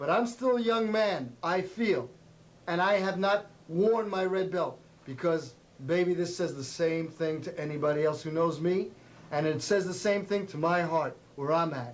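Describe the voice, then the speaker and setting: The man's voice sits high in pitch. Audible room echo is present. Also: ordinary pitch variation, moderate pace. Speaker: karate instructor. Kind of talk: tv show martial arts instruction.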